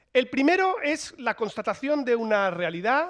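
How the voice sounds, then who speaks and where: Over a quiet background, the speaker's animated tone carries very wide pitch swings. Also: man. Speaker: political scientist speaker. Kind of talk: conference talk. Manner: fast.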